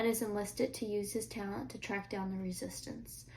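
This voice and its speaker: A woman's somewhat breathy voice at a fairly quick pace, with fairly even intonation. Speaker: book reviewer. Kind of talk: reading book blurb aloud.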